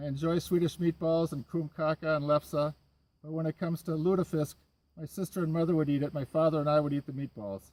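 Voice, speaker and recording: Fairly quick, fairly high male speech with fairly even intonation in an Upper Midwest accent. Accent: Upper Midwest American. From Minnesota, Minneapolis. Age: 60s. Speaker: carpenter, show applicant. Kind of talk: audition video interview.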